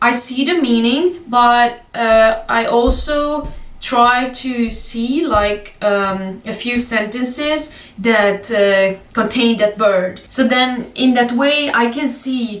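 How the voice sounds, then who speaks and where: With music in the background and audible room echo, a woman with a Hungarian accent speaks at a very slow pace with hardly any pauses, her high pitch showing ordinary variation. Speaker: language learning youtuber. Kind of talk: casual tutorial vlog. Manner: hesitant, many fillers.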